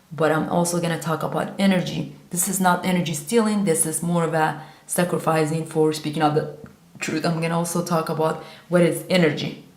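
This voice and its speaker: A woman talks at a fairly quick pace in monotone, flat intonation. Room echo is audible, and background noise is noticeable. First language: Kurdish. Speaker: vlogger. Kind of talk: monologue to camera. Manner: halting.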